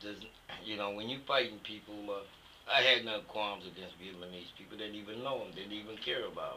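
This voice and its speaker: This is a man's voice. There is noticeable noise in the background. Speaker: war veteran. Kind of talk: interview answer. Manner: casual, conversational.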